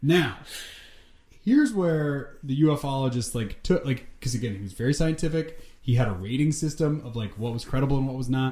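A man speaks at a fairly quick pace with a fairly high pitch and ordinary pitch variation. His tone is dark and mellow and somewhat breathy. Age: 30s. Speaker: writer and director. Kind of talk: casual chat.

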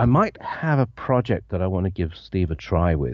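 With an English accent, a man speaks at a fairly low pitch with vocal fry. His pitch swings very widely. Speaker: retired bassist and equipment rental owner. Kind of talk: interview. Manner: halting.

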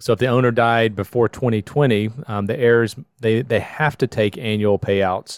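A man's ordinary speaking voice at medium pitch, moderate pace and fairly even intonation, in dry, close sound with no echo on a very clean recording with a silent background. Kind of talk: casual chat.

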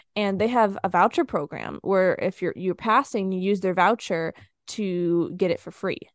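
A woman with a plain, everyday voice speaks at a medium pitch and moderate pace with fairly even intonation, in a dry, close sound with no echo against a quiet background. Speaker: podcaster and money coach for students. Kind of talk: interview conversation.

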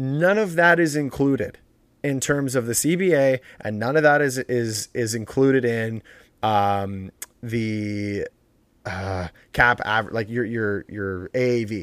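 Recorded very cleanly with a silent background and a dry, close sound with no echo, an ordinary speaking voice moves at a fairly slow pace with ordinary pitch variation. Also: man, medium pitch for a man. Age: 20s. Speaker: podcast host. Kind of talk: casual chat.

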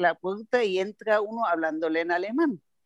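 A woman speaks at a medium pitch with a German accent. The sound is dry and close, with no echo. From Germany, Bavaria (Nuremberg). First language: German (speaking Spanish). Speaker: translator and export business consultant. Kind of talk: casual interview.

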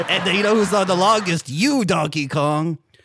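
Using a put-on character voice, a man growls in a high pitch. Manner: insulting, joking.

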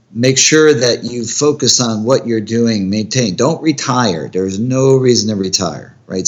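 Speaking in a plain, everyday voice, a man keeps a fairly slow pace at medium pitch with ordinary pitch variation. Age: 50s. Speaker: orthopedic surgeon. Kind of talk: interview.

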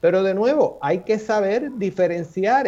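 In a dark, mellow tone, a man speaks at a fairly slow pace with lively intonation. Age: 60s. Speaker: physician scientist. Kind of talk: radio panel discussion.

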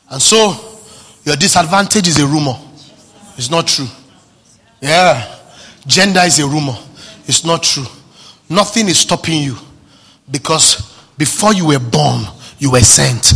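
Against noticeable background noise, a fairly high-pitched man talks in an animated tone with lively intonation at a moderate pace, taking long, frequent pauses. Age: 30s. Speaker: pastor. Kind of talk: sermon. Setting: church service.

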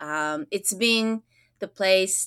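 On a very clean recording with a silent background, a woman speaks very slowly with a Japanese accent, her medium pitch carrying lively intonation and a bright, sharp tone. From Japan, moved to US at nine. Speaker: school counselor. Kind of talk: interview conversation. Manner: animated, many fillers and restarts.

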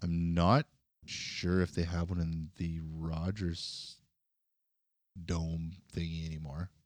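A man with a Canadian accent, very deep and low in pitch, very slow with monotone, flat intonation and long, frequent pauses, in a very clean recording with a silent background. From Canada, northwestern Ontario (Kenora). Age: 40s. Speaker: podcast co-host. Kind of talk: casual chat.

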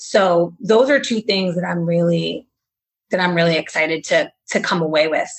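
Here a woman speaks with a fairly low pitch and lively intonation at a moderate pace. She has an unremarkable speaking voice. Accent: American. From Massachusetts, between Boston and Providence. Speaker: beginning farmer, farm training student. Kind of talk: interview conversation.

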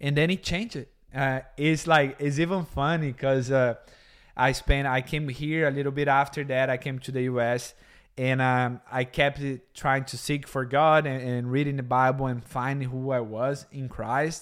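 Over a very clean recording with a silent background, a man with a Brazilian accent talks at a moderate pace and medium pitch, keeping his intonation fairly even. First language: Portuguese. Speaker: podcast co-host. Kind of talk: casual faith discussion. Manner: halting.

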